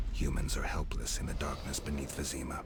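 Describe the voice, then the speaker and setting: Over loud background noise, a man performs a put-on character voice at a fairly quick pace. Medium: machinima. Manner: terse, dry.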